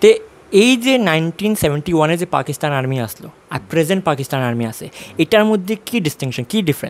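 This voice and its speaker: A man's fairly high voice, with very wide pitch swings and big jumps in loudness. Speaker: news reporter. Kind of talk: interviewer questions and news intro.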